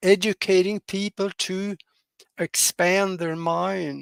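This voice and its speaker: Very slow, monotone, flat speech from a man at a high pitch in a Norwegian accent, dry and close with no echo. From Norway. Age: 80s+. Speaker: pilot and hypnotherapist, podcast guest. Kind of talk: interview conversation. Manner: halting, many fillers.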